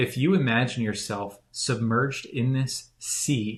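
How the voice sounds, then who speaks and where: Somewhat breathy delivery with ordinary pitch variation, on a very clean recording with a silent background. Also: man. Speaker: spiritual teacher. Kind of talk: casual chat.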